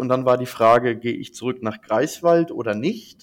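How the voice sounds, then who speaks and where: Here is a man with a plain, everyday voice at a medium pitch. He keeps a moderate pace and ordinary pitch variation. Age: 20s. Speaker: management consultant. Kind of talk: interview. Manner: many fillers.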